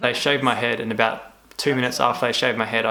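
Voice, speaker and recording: Noticeable background noise sits under a man with an Australian accent who talks at a very fast pace, medium pitch and ordinary pitch variation. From Australia, Tasmania. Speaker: cancer survivor vlogger. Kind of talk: casual vlog talk. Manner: stuttering.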